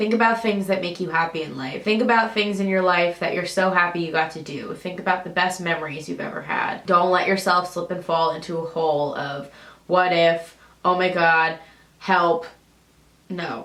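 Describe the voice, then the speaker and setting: At a moderate pace, a woman with a fairly low pitch speaks with fairly even intonation amid audible room echo. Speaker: vlogger. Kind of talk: personal vlog advice.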